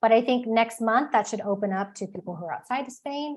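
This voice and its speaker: The speaker has a Texan accent and lively intonation. The background is quiet. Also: woman. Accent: Texan American. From Texas. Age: 40s. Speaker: author and expat advisor. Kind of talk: webinar presentation. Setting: live online webinar. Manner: fast.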